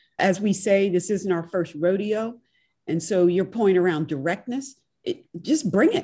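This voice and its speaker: Against a quiet background, a woman with a medium-pitched, dark and mellow voice speaks somewhat breathily at a fairly slow pace, her pitch swinging very widely. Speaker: podcast host and professor. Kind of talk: interview.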